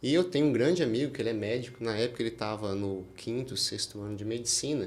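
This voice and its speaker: Talking at a fairly quick pace, a man with a strong Minas Gerais accent uses a medium pitch and ordinary pitch variation, with audible room echo. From Brazil, Minas Gerais (rural). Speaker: oral and maxillofacial surgeon. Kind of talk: podcast interview.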